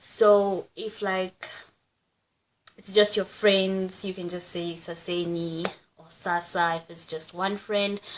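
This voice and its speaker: Loudness swings widely in this Kenyan accent. The pace is very slow. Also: woman, medium pitch for a woman. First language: Kikuyu. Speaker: YouTuber. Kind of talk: casual vlog, language examples. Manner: casual, animated.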